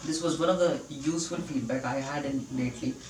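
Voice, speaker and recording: Noticeable background noise and audible echo from the room accompany a man as he talks. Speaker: vlogger practicing spoken English. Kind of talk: video diary monologue. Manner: slow; halting, with fillers.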